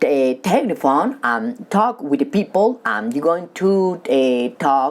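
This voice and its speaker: With a non-native accent, a woman speaks at a very slow pace in a fairly low pitch, her voice moving through very wide pitch swings. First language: not English. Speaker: stuttering coach. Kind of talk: tutorial. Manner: halting.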